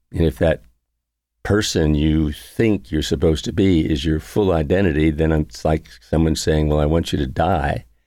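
A man's very deep, low voice, dark and mellow, at a moderate pace with ordinary pitch variation and very even loudness on a very clean recording with a silent background. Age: 80s+. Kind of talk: homily. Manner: conversational.

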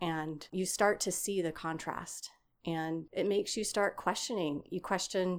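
Here is a woman with an ordinary speaking voice and an American accent. Her pitch is medium with ordinary variation, in a very clean recording with a silent background. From East Texas. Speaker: architecture professor. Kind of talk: interview.

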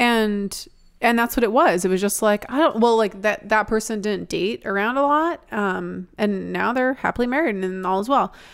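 Fairly high in pitch with ordinary pitch variation, a woman speaks at a moderate pace in a normal speaking voice, on a very clean recording with a silent background. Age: 30s. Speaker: advice podcast co-host. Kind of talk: casual chat.

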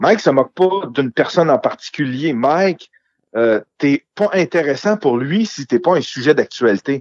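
This is a normal speaking voice with lively intonation. The pace is moderate, and the sound is dry and close with no echo. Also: man, fairly high pitch for a man. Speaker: podcaster and amateur comedian. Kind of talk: casual chat.

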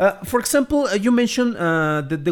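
A man talks at a very fast pace in a Spanish accent. His intonation is lively. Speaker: podcast host, film critic. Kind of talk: interview. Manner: hesitant, many repetitions.

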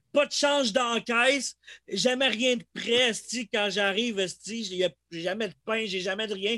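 In a Quebec accent, a man with a high pitch speaks very slowly in a raised, projected voice, his tone bright and sharp, his pitch variation ordinary, and the sound dry and close with no echo. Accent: Québécois French. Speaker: podcast host. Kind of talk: casual chat.

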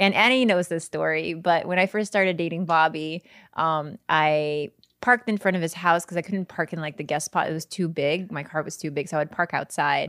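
In a plain, everyday voice, a woman speaks at a fairly low pitch with ordinary pitch variation, the sound dry and close with no echo. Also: fairly quick pace. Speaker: podcast co-host. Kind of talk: casual chat.

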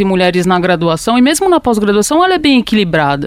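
A woman speaks at a fairly quick pace in a plain, everyday voice. Her pitch sits at a medium level. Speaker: university professor and ecologist. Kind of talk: panel discussion.

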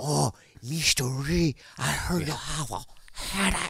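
Using a put-on character voice, a man speaks at a fairly high pitch and a fairly slow pace. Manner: mocking, solicitous.

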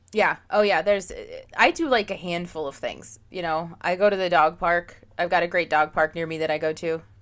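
With an American accent, a woman talks in a plain, everyday voice at a moderate pace, her intonation fairly even. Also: fairly low pitch for a woman. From Pennsylvania. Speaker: podcast host. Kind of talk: casual chat.

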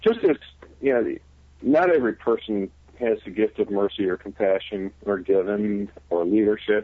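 At a moderate pace, a man with a plain, everyday voice speaks in an American accent. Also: fairly low pitch for a man, ordinary pitch variation. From Michigan. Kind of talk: interview. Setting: phone call.

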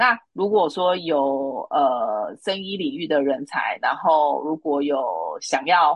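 With a very deep, low pitch, a woman speaks at a very slow pace using lively intonation. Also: hardly any pauses. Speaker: recruitment consultant. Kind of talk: interview.

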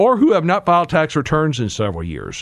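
A man's fairly high voice with vocal fry, very wide pitch swings and a fairly quick pace. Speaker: radio host and tax attorney. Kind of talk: radio talk show about taxes. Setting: radio studio broadcast. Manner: conversational, explanatory.

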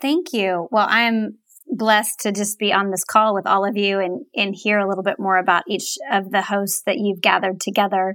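A woman with a normal speaking voice talks at a moderate pace with hardly any pauses, her pitch medium and its variation ordinary, on a very clean recording with a silent background. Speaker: grief podcast host. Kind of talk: casual chat.

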